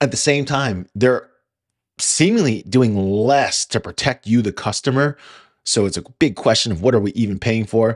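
The intonation is lively and the pace moderate. The background is quiet. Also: man. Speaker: podcast host. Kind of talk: casual podcast monologue. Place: home room. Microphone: studio mic.

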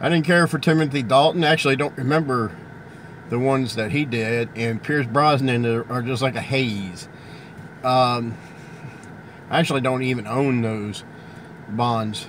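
Long, frequent pauses break up speech at a moderate pace with ordinary pitch variation and noticeable background noise. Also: man, medium pitch for a man. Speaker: movie collector YouTuber. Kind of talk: casual video monologue. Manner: halting with fillers.

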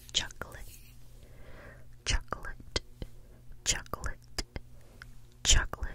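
This woman whispers very slowly, with long, frequent pauses. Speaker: ASMR creator. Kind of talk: ASMR trigger words. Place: home room. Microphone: studio mic.

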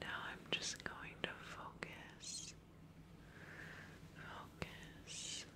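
Long, frequent pauses break up a woman's speech over loud background noise. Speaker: ASMR creator. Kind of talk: ASMR whisper session. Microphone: studio mic.

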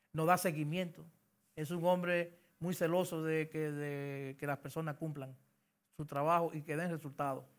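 Against a quiet background, a man speaks at a fairly slow pace in a monotone, flat intonation. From Dominican Republic, Santiago de los Caballeros; Dominican Republic. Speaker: government engineering official; interviewee. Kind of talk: interview. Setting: radio studio. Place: studio. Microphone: lapel.

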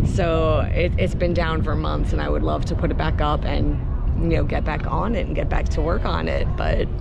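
A woman talks at a moderate pace, her voice a dry sound with no echo, while loud background noise plays. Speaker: vlogger. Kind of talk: casual vlog chat. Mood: upbeat, chatty. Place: open country. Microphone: phone near.

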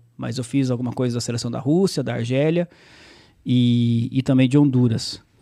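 Against a quiet background, a man speaks at a moderate pace with fairly even intonation and a dark, mellow tone. The sound is dry with no echo. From São Paulo state interior, Brazil (Salto); São Paulo state, Brazil. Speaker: sports journalist and play-by-play narrator; podcast guest. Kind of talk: casual interview chat. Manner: halting, many repetitions. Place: studio. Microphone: studio mic.

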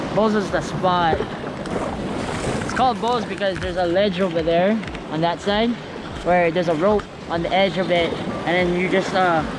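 A man speaks at a fairly quick pace. Loud background noise runs behind him. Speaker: vlogger. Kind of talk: casual vlog chat. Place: beach. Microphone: phone near.

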